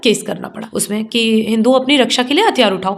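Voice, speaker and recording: A woman with a high pitch and ordinary pitch variation speaks at a moderate pace against noticeable background noise. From Jamui, Bihar, India. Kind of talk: interview answer.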